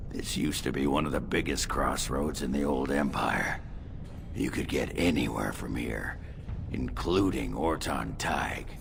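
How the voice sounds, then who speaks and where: A man puts on a character voice. Loud noise fills the background. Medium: video game. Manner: gruff, blunt.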